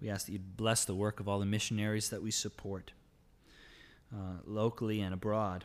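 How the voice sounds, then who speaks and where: Speaking at a fairly quick pace, a man keeps a fairly low pitch and a flat, monotone intonation. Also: very clean recording, silent background. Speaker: pastor. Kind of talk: fervent congregational prayer, pastoral. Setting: church. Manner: earnest, impassioned, pleading.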